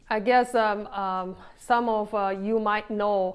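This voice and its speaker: A woman with a Chinese accent speaks very slowly, her intonation fairly even. The recording is very clean, with a silent background. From China. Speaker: vlogger. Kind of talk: casual vlog monologue. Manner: halting, many fillers.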